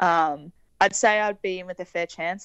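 This woman has an Australian accent. Her intonation is fairly even. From rural Victoria, Australia. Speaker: Olympic rower. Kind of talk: interview. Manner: casual, many fillers.

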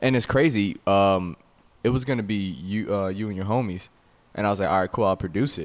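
A man with a fairly low pitch talks at a fairly quick pace in an ordinary speaking voice, with ordinary pitch variation. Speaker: podcast co-host and producer. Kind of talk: casual chat. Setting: studio.

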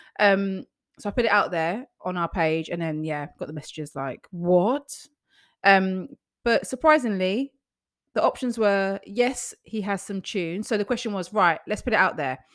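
A woman's plain, everyday voice at medium pitch, with lively intonation and a moderate pace, on a very clean recording with a silent background. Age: 30s. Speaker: podcast co-host. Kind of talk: casual chat.

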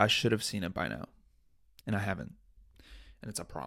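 A man talks with vocal fry. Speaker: podcast host. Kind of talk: casual solo monologue. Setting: home studio with audio interface. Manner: rambling with frequent filler words and self-repetition; loud.

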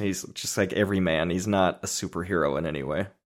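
An ordinary speaking voice talks at a fairly quick pace. Its pitch variation is ordinary. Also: man. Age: 30s. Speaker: movie podcast co-host. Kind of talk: casual chat.

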